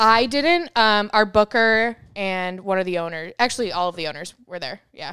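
A woman with an ordinary speaking voice, at medium pitch and a moderate pace, uses lively intonation with big swings in loudness on a very clean recording with a silent background. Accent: American. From New York. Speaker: comedy club manager. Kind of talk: casual chat.

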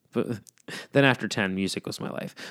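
A man's speech rushes by very quickly, its pitch rising and falling in an ordinary way. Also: very clean recording, silent background. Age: 30s. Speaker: music podcast host. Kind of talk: casual solo podcast talk. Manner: casual, rambling with fillers.

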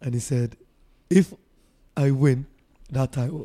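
A somewhat breathy, medium-pitched man at a fairly slow pace, in a dry, close sound with no echo. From Africa. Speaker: Muay Thai fighter and coach. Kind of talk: casual chat.

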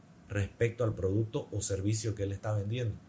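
A man's dark, mellow, somewhat breathy voice. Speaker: advertising professional and content creator. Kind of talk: casual interview chat.

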